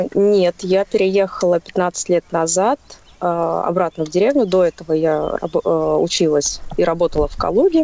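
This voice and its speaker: Heard in a dry, close sound with no echo, a woman talks fairly slowly. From Russia, Kaluga region village. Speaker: caller. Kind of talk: casual phone chat.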